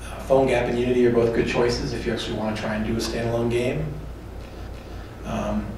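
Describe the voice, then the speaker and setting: A man talks at a very fast pace with long, frequent pauses, his voice carrying audible room echo over noticeable background noise. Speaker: conference speaker on mobile apps. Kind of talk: conference talk. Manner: loud.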